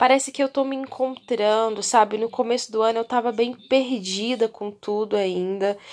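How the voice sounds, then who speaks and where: The speaking rate is moderate. A woman talks at a high pitch. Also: very clean recording, silent background. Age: 30s. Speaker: podcast host. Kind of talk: solo casual monologue. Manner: chatty, conversational.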